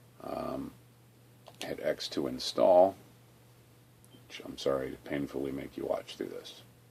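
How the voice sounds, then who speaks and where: Speaking at a fairly slow pace, a man leaves long, frequent pauses, and his loudness swings widely. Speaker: video tutorial maker. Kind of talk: tutorial.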